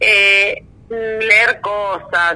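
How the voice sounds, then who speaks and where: With a bright, sharp tone, a woman in a Rioplatense accent speaks at a medium pitch. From Argentina, Buenos Aires province (conurbano). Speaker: investigative journalist. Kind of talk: interview.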